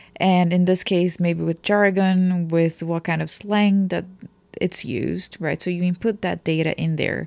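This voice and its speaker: Someone with a Portuguese accent talks at a fairly slow pace on a very clean recording with a silent background. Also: woman, fairly low pitch for a woman. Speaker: translator. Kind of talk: casual chat.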